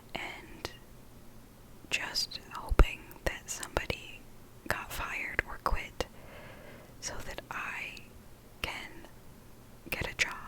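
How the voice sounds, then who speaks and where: A whisper at a very slow pace, broken by long, frequent pauses. Loudness swings widely, with noticeable background noise. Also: woman. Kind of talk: ASMR vlog voiceover. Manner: soft-spoken, whispered.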